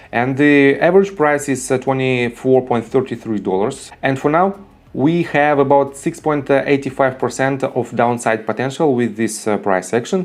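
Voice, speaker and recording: With a non-native accent, a man talks at a moderate pace and a medium pitch, with ordinary pitch variation and hardly any pauses. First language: not English. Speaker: stock market YouTuber. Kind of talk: stock analysis tutorial. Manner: hesitant, many filler sounds.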